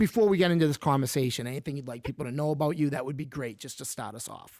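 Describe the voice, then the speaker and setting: Talking at a very fast pace, a man with a fairly high pitch shows ordinary pitch variation and big swings in loudness. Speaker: podcast host. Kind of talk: casual interview chat.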